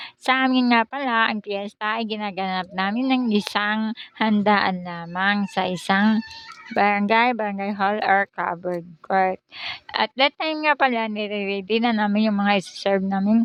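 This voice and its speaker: Over music in the background, a woman talks at a fairly slow pace with ordinary pitch variation. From Surigao del Sur, Philippines. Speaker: vlogger. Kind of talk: vlog voiceover narration. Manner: casual.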